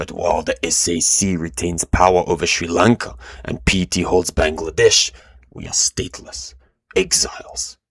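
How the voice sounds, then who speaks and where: At a moderate pace, a man puts on a character voice with a very deep, low pitch, recorded dry and close with no echo. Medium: read story. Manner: controlled, proud.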